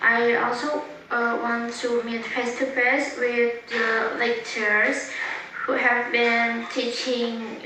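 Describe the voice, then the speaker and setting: Speaking at a very slow pace, a woman with a fairly high pitch is heard through audible room echo and noticeable background noise. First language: Indonesian. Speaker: university student. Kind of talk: personal video talk. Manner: halting.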